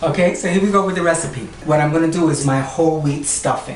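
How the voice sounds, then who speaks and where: A woman with a very deep, low voice speaks at a very fast pace and with fairly even intonation over noticeable background noise. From Puerto Rico, raised in New York. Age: 60s. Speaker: cooking show host. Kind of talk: cooking demonstration to camera. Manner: flamboyant, sassy.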